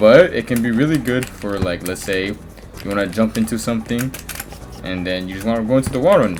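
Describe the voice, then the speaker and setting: With lively intonation and a moderate pace, a man talks while music plays in the background. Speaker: gaming tutorial creator. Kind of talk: tutorial. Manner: halting, stuttering; casual, slangy.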